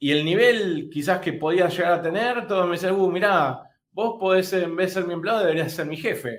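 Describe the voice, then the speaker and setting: A man with a high-pitched voice talks at a moderate pace, his pitch varying in an ordinary way. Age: 40s. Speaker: digital marketing course host. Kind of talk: webinar panel discussion. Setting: live online webinar. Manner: halting, many repeated words.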